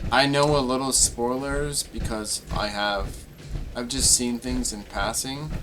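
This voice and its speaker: Noticeable background noise runs behind the speaker. He is a man talking at a fairly slow pace. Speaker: gaming streamer. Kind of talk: casual chat. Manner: halting.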